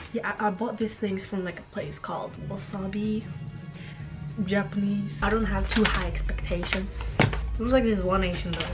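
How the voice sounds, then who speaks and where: A woman talks at a moderate pace. Music plays clearly behind her. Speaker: travel vlogger. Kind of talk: casual vlog chat. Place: home room. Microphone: phone near.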